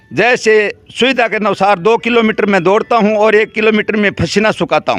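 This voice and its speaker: A man's high-pitched voice is heard in a dry, close sound with no echo. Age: 70s. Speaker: elderly villager. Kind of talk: interview.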